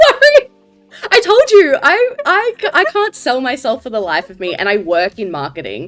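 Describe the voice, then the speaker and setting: Her pitch swings very widely as this woman moves through her words at a fairly slow pace. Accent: Australian. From Australia. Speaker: podcast co-host, BL content creator. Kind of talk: casual video chat interview. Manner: halting, stammering.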